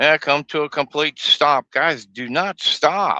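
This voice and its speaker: A man talks in a relaxed tone that is bright and sharp, with vocal fry. The sound is dry and close with no echo, over a quiet background. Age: 60s. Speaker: truck driver livestreamer. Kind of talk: casual driving vlog. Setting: in a truck cab. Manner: relaxed, rambling.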